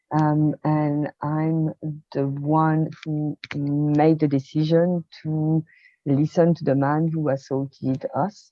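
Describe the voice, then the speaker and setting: A woman speaks in a French accent. Her very deep, low voice stays monotone and flat. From rural France. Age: 50s. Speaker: experience designer and coach. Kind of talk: interview testimony. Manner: hesitant, many fillers.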